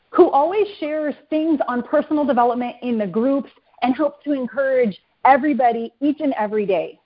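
A woman with a high pitch speaks at a fairly slow pace with lively intonation. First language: English (speaking Spanish). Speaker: network marketing leader. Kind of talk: motivational talk. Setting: conference call.

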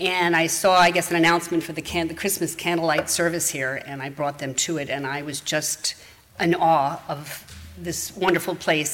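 A woman with a fairly low voice talks at a fairly quick pace. Her intonation stays fairly even, and background noise is noticeable. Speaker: congregation member. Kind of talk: reading aloud. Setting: church.

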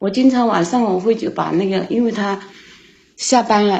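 A woman speaking at a fairly slow pace, her voice somewhat breathy. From Sichuan, China. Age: 40s. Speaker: caller to an advice show. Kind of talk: phone-in call about her marriage.

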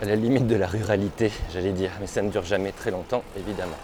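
A man talks at a very fast pace and fairly low pitch. Background noise is noticeable. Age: 40s. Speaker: podcaster. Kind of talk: casual narration while cycling. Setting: outdoors on an electric bike.

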